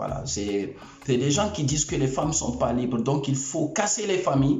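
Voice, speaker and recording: A man with an African accent speaks with lively intonation over noticeable background noise and audible room echo. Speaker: YouTube commentator. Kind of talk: opinion rant to camera. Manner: animated.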